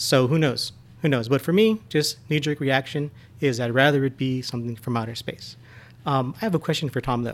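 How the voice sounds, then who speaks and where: Fairly quick in pace, with ordinary pitch variation, this is an ordinary speaking voice. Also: man, medium pitch for a man. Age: 40s. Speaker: podcast guest. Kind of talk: casual chat.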